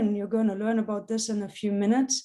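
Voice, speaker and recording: The speaker is a woman with a fairly high pitch. Her tone is dark and mellow. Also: quiet background. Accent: German. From Germany. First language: German. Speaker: professor. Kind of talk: public science talk. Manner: many fillers (um, uh).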